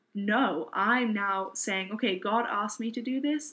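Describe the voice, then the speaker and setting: A woman speaks with a British accent in a fairly high voice. Her pitch varies in an ordinary way. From southeast England, Kent. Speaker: bible college student, nonprofit founder. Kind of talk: testimony.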